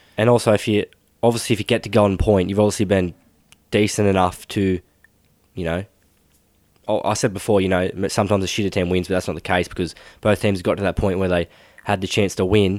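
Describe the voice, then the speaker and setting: A man with an Australian accent, fairly low in pitch and monotone, very fast yet with long, frequent pauses, on a very clean recording with a silent background. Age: 20s. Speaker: sports podcast host. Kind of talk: casual chat.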